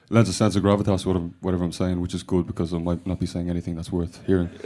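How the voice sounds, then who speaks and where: A man's very deep, low voice in a Dublin accent, dark and mellow in tone, very fast, with fairly even intonation, on a very clean recording with a silent background. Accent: Dublin Irish. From Ireland. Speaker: rock band member. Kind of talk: radio interview. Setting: radio studio. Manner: hesitant, many fillers. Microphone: voice booming back in studio monitors.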